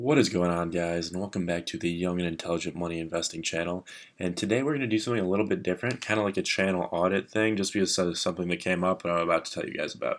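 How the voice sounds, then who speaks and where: A man talks quietly at a very fast pace with hardly any pauses, his very deep, low voice captured in a very clean recording against a silent background. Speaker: finance YouTuber. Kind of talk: casual vlog. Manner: monotone.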